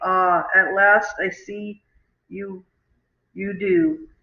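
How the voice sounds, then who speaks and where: Very slow, middle-pitched, in a put-on character voice. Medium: read story.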